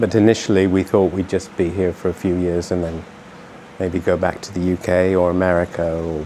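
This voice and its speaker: Over noticeable background noise, a man with a British accent speaks at a very deep, low pitch. His pace is fairly quick and his intonation monotone and flat. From UK. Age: 60s. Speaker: expat business owner. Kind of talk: interview. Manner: halting, repeats words.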